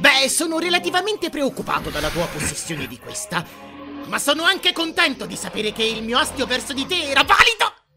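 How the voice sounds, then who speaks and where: Faint music plays behind a put-on character voice delivered at a fairly quick pace. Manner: anxious, prissy, indignant.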